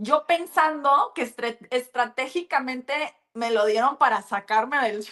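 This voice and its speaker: A woman with a Mexican accent speaks fairly slowly in an animated tone at a high pitch, with ordinary pitch variation. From US, California (Los Angeles area). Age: 30s. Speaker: businesswoman, former reality show contestant. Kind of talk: interview.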